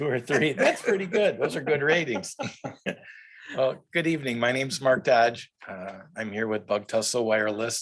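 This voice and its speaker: A man's medium-pitched voice at a moderate pace, with lively intonation. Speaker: wireless company representative. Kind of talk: public presentation. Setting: televised board meeting. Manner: loud.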